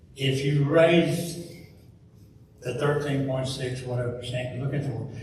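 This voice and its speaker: A man's fairly high voice at a fairly slow pace, with fairly even intonation, audible room echo and noticeable background noise. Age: 70s. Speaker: public commenter, retiree. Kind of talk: public comment at board meeting.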